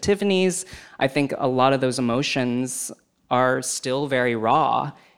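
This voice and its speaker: A man with an American accent speaks at a moderate pace and medium pitch, with ordinary pitch variation. He has an ordinary speaking voice, and the recording is very clean with a silent background. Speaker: film website editor. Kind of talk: live panel discussion.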